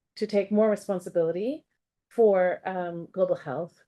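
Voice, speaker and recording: A woman with an American accent, an unremarkable speaking voice at a medium pitch, moderate pace, and ordinary pitch variation. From United States. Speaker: professor. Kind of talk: academic seminar talk. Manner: many filler words (um, uh).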